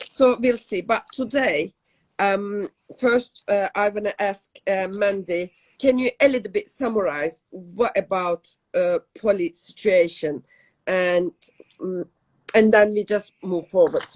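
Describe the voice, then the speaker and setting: With a Turkish accent, a woman speaks very slowly at a medium pitch with ordinary pitch variation, in a dry, close sound with no echo. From Turkey. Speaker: podcast co-host. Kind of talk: casual chat. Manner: halting.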